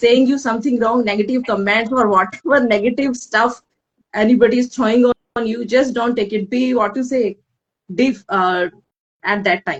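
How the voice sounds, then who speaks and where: At a moderate pace, a woman speaks in a high pitch with ordinary pitch variation. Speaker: guest, mother turned coach. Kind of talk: live interview chat. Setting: Instagram live stream. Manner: halting, repetitive starts.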